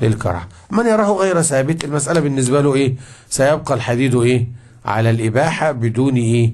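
A man with an Egyptian accent talks at a moderate pace. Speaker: Islamic scholar teaching a fiqh book; religious teacher. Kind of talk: religious lesson. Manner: conversational, asks audience questions. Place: classroom. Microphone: studio mic.

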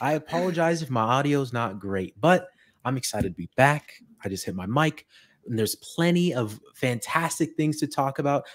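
Lively intonation marks this man's voice against a quiet background. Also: moderate pace. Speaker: podcast co-host. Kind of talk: casual podcast chat. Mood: cheerful, laughing often. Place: home room. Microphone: studio mic.

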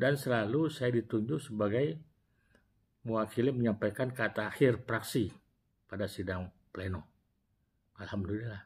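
A man speaks at a moderate pace with a somewhat breathy voice, leaving long pauses that come often. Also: ordinary pitch variation. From Indonesia. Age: 60s. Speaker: retired prosecutor and former regional legislator telling life story. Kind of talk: personal storytelling vlog. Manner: halting with self-corrections. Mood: warm, reflective. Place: office. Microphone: lapel.

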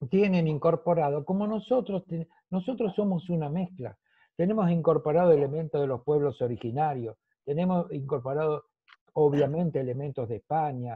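A man at a moderate pace, with a quiet background and a dry sound with no echo. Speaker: guest. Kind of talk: conversational talk. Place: home room. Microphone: video call.

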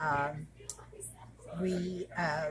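Noticeable background noise behind a woman speaking. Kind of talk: interview answer. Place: bar.

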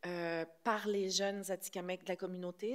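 With fairly even intonation, a woman is talking. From Quebec. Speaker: film director. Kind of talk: press conference. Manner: hesitant, many fillers. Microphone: podium.

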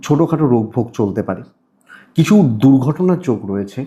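Somewhat breathy and dark, mellow in tone, a man's voice moves through very wide pitch swings. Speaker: astrologer. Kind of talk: horoscope monologue to camera. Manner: repetitive, restarting phrases.

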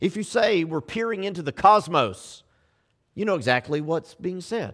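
Recorded very cleanly against a silent background, a man speaks at a moderate pace with very wide pitch swings. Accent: Southern US. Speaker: pastor. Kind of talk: sermon. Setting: church. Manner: subdued, restrained.

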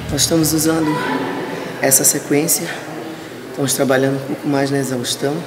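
Loud background noise surrounds the voice. A woman speaks at a moderate pace. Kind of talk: interview answer. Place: gym.

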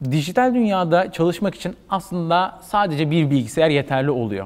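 A man speaks at a fairly high pitch with very wide pitch swings. His pace is moderate. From Turkey, Izmir; Turkey. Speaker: marketing manager; interview guest. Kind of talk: interview. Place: home room. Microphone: lapel.

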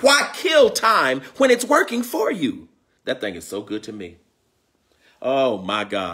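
A man talks in an animated, warm tone with big swings in loudness. He leaves long, frequent pauses against a quiet background. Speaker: spiritual teacher and live-stream host. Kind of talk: sermon-like live-streamed spiritual lesson, preacher in full flow. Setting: live video stream with online viewers. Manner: animated, call-and-response, rhythmic repetition of key lines; warm, exuberant, greeting viewers. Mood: joyful, fervent. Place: home room. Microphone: phone near.

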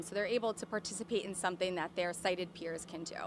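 The woman's voice sounds dry with no echo, though noticeable background noise is present. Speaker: nonprofit event organizer. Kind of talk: interview soundbite. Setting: on location at event. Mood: warm, upbeat. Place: garden. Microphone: handheld.

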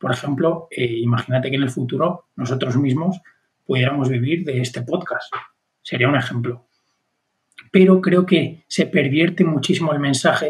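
Moderate tempo and ordinary pitch variation in a man's somewhat breathy, fairly high-pitched voice. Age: 20s. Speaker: podcast co-host. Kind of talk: casual conversation.

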